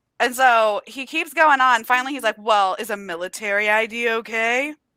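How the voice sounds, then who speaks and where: Loud and animated, a woman with a bright, sharp tone and fairly high pitch speaks at a moderate pace with ordinary pitch variation on a very clean recording with a silent background. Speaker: book youtuber. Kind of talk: casual chat.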